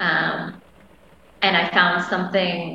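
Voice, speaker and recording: A woman with a Canadian accent speaks at a fairly low pitch. Noticeable background noise and audible room echo are present. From Canada. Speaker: massage therapist and women's coach. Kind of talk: casual interview chat. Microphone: internet connection delays.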